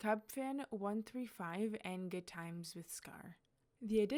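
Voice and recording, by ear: Someone is reading aloud in a natural voice. The delivery stays just that.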